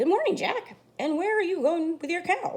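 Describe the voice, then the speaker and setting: Putting on a squeaky character voice, a woman talks at an extremely high pitch with lively intonation at a moderate pace. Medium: read story.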